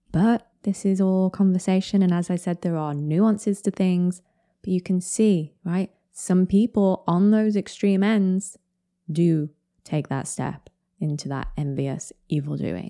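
A woman's medium-pitched voice with a British accent and a dark, mellow tone, fairly slow with ordinary pitch variation, dry and close with no echo on a very clean recording with a silent background. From Britain. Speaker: podcast host summarising other podcasts. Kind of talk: solo commentary podcast. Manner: casual, conversational.

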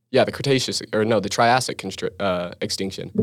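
Here a man with an American accent talks at a moderate pace and fairly low pitch. The recording is very clean, with a silent background. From rural Utah, Vernal. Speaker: geology student. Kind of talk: casual chat.

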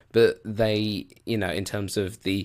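Speaking with a British accent, a man talks at a fairly slow pace and a fairly low pitch. His intonation is fairly even, and the recording is very clean with a silent background. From Britain. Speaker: film podcast host. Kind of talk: solo podcast commentary. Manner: casual, rambling with fillers.

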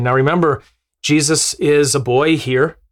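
In a very clean recording with a silent background, a man speaks at a fairly slow pace with a fairly high pitch and ordinary pitch variation. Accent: American. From US Midwest, Wisconsin. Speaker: missionary. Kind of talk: podcast teaching.

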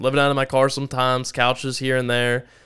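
A man's ordinary speaking voice at medium pitch, at a fairly quick pace, on a very clean recording with a silent background. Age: 20s. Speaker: entrepreneur. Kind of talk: interview. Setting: studio.

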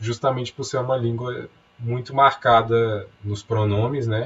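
A man's somewhat breathy voice at medium pitch, with monotone, flat intonation. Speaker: podcast co-host, writer. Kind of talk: casual chat.

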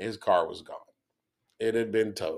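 A man with a Texan accent and a fairly low pitch sounds animated at a fairly quick pace. The recording is very clean, with a silent background. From Texas. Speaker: podcast host. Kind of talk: casual chat.

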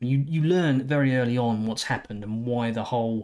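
An ordinary speaking voice from a man, medium in pitch, with ordinary pitch variation and a moderate pace, in a very clean recording with a silent background. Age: 40s. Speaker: movie reviewer. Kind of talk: solo movie review.

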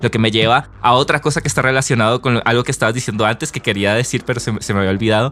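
A man talks very fast with hardly any pauses. His tone is bright and sharp, at a medium pitch with fairly even intonation. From Colombia. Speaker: podcast host and musician. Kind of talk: casual conversation.

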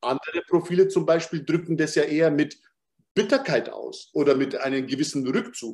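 Using an ordinary speaking voice, a man talks at a moderate pace with a fairly high pitch and lively intonation. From Bavaria, Munich. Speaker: human design coach. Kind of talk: interview conversation.

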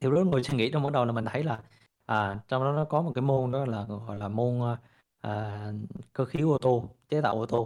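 A man with medium pitch speaks in an ordinary speaking voice at a moderate pace, with ordinary pitch variation and a quiet background. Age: 30s. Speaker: crypto investor and entrepreneur. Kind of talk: interview storytelling.

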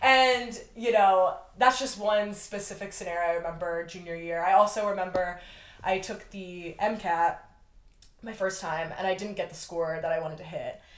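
Using a plain, everyday voice, a woman of medium pitch speaks at a moderate pace with ordinary pitch variation and big swings in loudness. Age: 20s. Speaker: friend of the host, aspiring medical student. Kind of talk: casual chat.

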